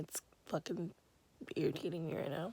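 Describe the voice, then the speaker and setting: A woman speaks at a fairly low pitch in a dark, mellow tone. Her voice is somewhat breathy. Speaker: vlogger and congenital heart patient. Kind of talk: casual vlog talk. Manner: speaking quietly.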